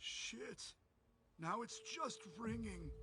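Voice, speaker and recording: A put-on character voice with a raspy edge. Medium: video game.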